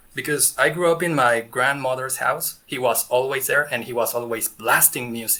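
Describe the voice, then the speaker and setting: With an American accent, a man talks at a moderate pace and a medium pitch, his intonation fairly even. Noticeable background noise is present. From Mexico. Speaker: music reaction youtuber. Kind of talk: interview.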